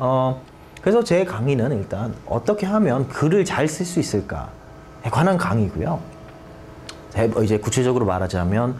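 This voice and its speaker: Through noticeable background noise and audible room echo, a medium-pitched man speaks at a moderate pace with very wide pitch swings. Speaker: SAT tutor. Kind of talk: lecture.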